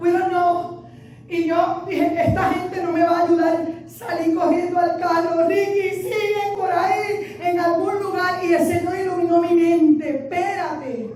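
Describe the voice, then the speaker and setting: A woman with an extremely high pitch talks at a fairly slow pace. The recording carries audible room echo and noticeable background noise. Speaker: pastor. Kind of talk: sermon. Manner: animated.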